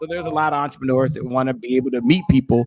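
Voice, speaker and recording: A man's medium-pitched, animated voice at a very fast pace, with ordinary pitch variation over noticeable background noise. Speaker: entrepreneur and podcast host. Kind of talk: interview.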